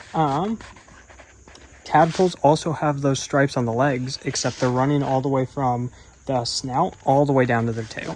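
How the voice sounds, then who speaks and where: A man at a moderate pace and medium pitch, ordinary pitch variation, with an American accent and noticeable background noise. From United States. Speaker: nature vlogger. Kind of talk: casual educational vlog. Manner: casual, with frequent fillers.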